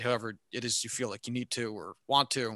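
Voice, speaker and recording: A man talks at a moderate pace with a bright, sharp tone. The sound is dry and close, with no echo. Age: 20s. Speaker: movie podcast co-host. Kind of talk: casual chat. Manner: loud.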